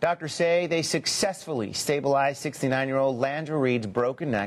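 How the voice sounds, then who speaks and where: Speaking at a fairly quick pace, a man with medium pitch and ordinary pitch variation has a plain, everyday voice. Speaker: TV news anchor. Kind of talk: TV news anchoring.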